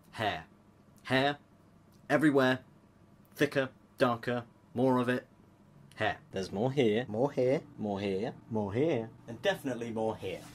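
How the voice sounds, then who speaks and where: A man talks with a British accent. His pace is fairly slow, with long, frequent pauses. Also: ordinary pitch variation. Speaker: vlogger. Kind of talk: personal vlog. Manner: casual, self-deprecating.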